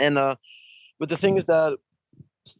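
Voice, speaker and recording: A man speaks at a moderate pace with a French accent, his pitch fairly high. The sound is dry and close, with no echo. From France. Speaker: rock musician. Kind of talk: interview. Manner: halting, many fillers.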